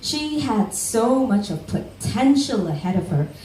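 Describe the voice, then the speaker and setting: A woman's voice at a very slow pace with very wide pitch swings, amid noticeable background noise. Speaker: spoken word poet. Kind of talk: spoken word storytelling performance.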